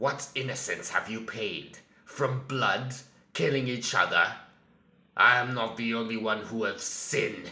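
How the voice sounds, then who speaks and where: A put-on character voice at a moderate pace. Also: man, medium pitch for a man. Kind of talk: villain monologue. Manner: slow, menacing.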